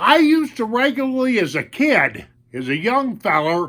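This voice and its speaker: A man uses a raised, projected voice with a bright, sharp tone and very wide pitch swings, speaking at a very slow pace. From northwestern Montana, US. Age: 60s. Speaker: Vietnam veteran YouTuber, storyteller. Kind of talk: oral storytelling, personal recollection. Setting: at home. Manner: casual, folksy.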